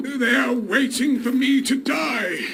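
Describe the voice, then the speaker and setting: Using a raspy put-on character voice, a man speaks at an extremely high pitch. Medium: machinima.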